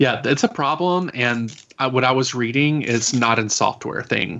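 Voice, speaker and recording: A man with a normal speaking voice talks at a medium pitch and moderate pace, with ordinary pitch variation and hardly any pauses. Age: 40s. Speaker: podcast guest. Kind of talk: casual chat.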